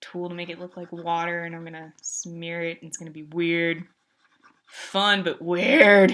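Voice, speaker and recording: A woman speaks with a fairly low pitch. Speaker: artist and livestreamer. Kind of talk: casual live art stream chat. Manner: loud; animated.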